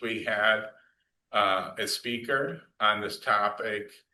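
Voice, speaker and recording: Monotone, flat intonation from a man with an American accent and a bright, sharp tone. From Michigan. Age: 60s. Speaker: community group organizer. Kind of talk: speaker introduction at a meeting.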